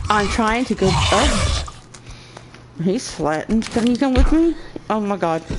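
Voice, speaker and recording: Over noticeable background noise, a woman with a fairly high pitch talks at a fairly slow pace, her pitch swinging very widely between long, frequent pauses. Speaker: gamer streamer. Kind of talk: live gameplay commentary.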